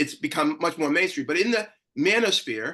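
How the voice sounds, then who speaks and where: A man with an American accent speaks in a bright, sharp tone. He sounds animated, and his intonation is lively. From Boston. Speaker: panelist, gender activist. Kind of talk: panel discussion. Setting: video call. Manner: fast.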